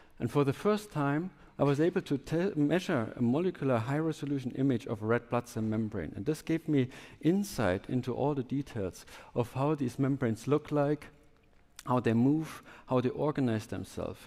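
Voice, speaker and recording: A man with a German accent, medium pitch, dark, mellow tone, lively intonation and moderate pace. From southwest Germany. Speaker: startup founder and scientist. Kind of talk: conference talk. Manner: halting.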